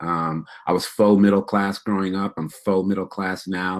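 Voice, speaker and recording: On a very clean recording with a silent background, a man speaks in a very deep, low pitch. His intonation is monotone and flat, and he has an American accent. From upstate New York. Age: 50s. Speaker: keynote speaker, educator. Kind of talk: keynote talk.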